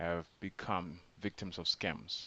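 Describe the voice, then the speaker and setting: This man's pitch is very deep and low. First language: not English. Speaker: scam awareness vlogger. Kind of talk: informal explainer video. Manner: hesitant, many fillers.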